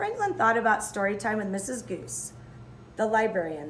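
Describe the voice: Her voice is a woman's at medium pitch, fairly bright in tone and swinging very widely in pitch. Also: moderate pace.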